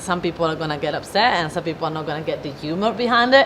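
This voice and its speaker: A woman with a fairly low pitch talks at a very fast pace with lively intonation. Noticeable background noise sits behind her. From Italy. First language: Italian. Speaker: business owner, event organizer. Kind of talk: interview. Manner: animated.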